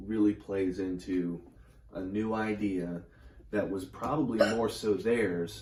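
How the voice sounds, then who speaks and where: A man speaks at a fairly low pitch with ordinary variation, his voice somewhat breathy. Audible room echo surrounds him. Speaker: tarot reader. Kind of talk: tarot reading.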